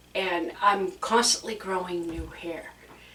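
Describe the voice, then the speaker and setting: Background noise is noticeable here. The speaking pace is very slow. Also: woman. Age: 60s. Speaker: YouTube creator. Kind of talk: casual chat.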